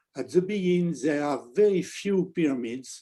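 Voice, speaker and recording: Against a quiet background, a man with a dark, mellow tone talks at a fairly slow pace with ordinary pitch variation. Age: 80s+. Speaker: archaeologist. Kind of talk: lecture Q&A. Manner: halting.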